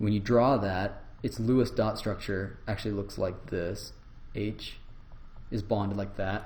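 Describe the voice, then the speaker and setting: Speaking fairly slowly at a fairly low pitch, a man uses a monotone, flat intonation with vocal fry, and the room echo is audible. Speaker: university lecturer. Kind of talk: lecture.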